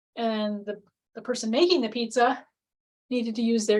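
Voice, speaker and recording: A woman talks in a somewhat breathy voice with fairly even intonation. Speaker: relationship coach. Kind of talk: webinar presentation. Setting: live webinar with screen share.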